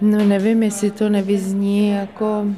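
Her pitch sits at a medium level for a woman. She speaks at a fairly slow pace. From Czechia, small town near Kolín. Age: 50s. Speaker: charity founder. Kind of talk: interview.

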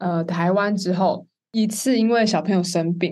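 A quiet background behind a woman speaking. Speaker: co-host summarizing testimony. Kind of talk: recap, casual chat.

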